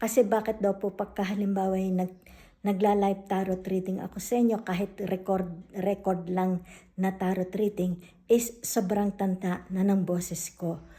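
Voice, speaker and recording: At medium pitch and a moderate pace, a woman speaks with a dark, mellow, somewhat breathy tone. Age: 60s. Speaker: tarot reader. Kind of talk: casual vlog announcement.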